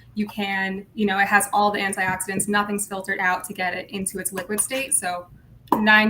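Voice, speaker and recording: A woman's medium-pitched, monotone, flat delivery at a fairly quick pace amid noticeable background noise. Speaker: brand livestream co-host. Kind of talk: casual livestream chat.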